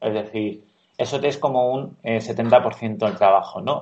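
Speaking at a very slow pace, a man keeps ordinary pitch variation. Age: 30s. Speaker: architect, studio co-founder. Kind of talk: interview.

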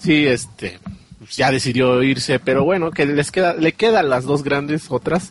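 In a Mexican accent, a man speaks at a fairly slow pace in a fairly high pitch with very even loudness over noticeable background noise. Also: ordinary pitch variation. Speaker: gaming podcast co-host. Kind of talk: casual chat.

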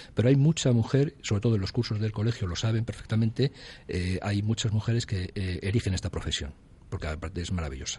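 This man's voice is fairly low-pitched and somewhat breathy, with a dark, mellow tone and ordinary pitch variation. He talks at a fairly quick pace against a quiet background. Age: 50s. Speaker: insurance broker. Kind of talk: radio interview.

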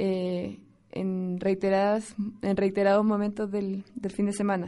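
A woman with a dark, mellow tone talks fairly slowly. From Chile. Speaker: community radio host. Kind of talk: radio presenting.

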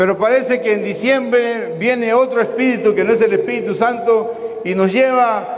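A man talks at an extremely high pitch. The room echo is audible, and there is noticeable background noise. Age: 60s. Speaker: pastor. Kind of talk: sermon.

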